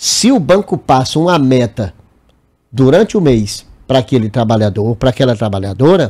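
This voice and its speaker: At a moderate pace, a man with a dark, mellow tone speaks with very wide pitch swings. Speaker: bank workers' union president. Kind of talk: TV interview.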